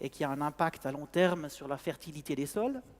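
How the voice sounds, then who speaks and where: With a Swiss accent, a man speaks at a moderate pace in a fairly high voice. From Switzerland. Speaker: sales manager of an agricultural robotics company. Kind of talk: conference talk. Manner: halting, many hesitations and repetitions.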